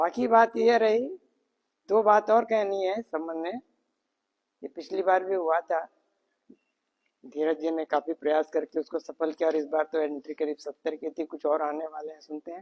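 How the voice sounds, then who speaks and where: Captured dry and close with no echo, a man speaks at a moderate pace and a fairly high pitch, with ordinary pitch variation and long, frequent pauses. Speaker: spiritual teacher. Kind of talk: speech at training camp. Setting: training camp. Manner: soft-spoken. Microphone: no mic, power outage.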